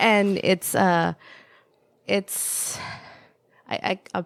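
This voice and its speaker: A woman with a Spanish accent in a very clean recording with a silent background. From El Salvador. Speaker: podcast guest. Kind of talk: casual conversation. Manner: hesitant, many fillers.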